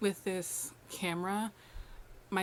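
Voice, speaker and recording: A soft-spoken woman talks. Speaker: lifestyle vlogger. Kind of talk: casual vlog talk to camera.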